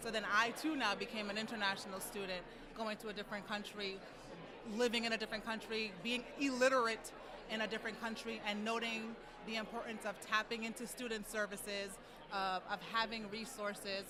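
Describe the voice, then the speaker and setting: A woman speaks at a fairly quick pace in a fairly high pitch with monotone, flat intonation, amid audible room echo and noticeable background noise. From US, New York. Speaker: nonprofit executive director. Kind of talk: interview. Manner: fluent with filler words.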